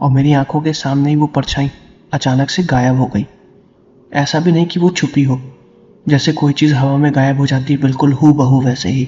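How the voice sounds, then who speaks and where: Fairly even intonation and a moderate pace from a man whose somewhat breathy voice sits fairly high in pitch. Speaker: horror story narrator. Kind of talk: storytelling narration.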